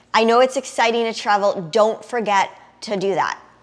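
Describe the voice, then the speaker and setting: An animated woman's voice with a New York accent, fairly high in pitch. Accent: noticeable New York. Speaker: travel vlogger. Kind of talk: casual tutorial.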